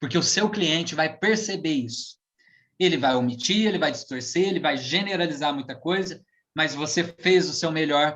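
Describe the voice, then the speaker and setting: Using a normal speaking voice, a man talks at a fairly high pitch with ordinary pitch variation. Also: moderate pace. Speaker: hypnotherapist and NLP practitioner. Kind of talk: online lecture talk. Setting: live stream.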